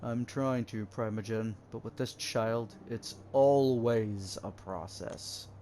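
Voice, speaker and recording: Putting on a character voice, a man speaks very slowly at a medium pitch with hardly any pauses over clear background noise. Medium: game stream. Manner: stern, blunt, condescending.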